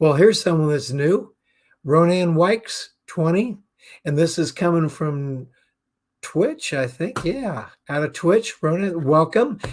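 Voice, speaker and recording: A man's high voice with lively intonation at a fairly slow pace. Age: 60s. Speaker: business talk show host. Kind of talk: live-streamed talk show monologue. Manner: casual, with frequent fillers.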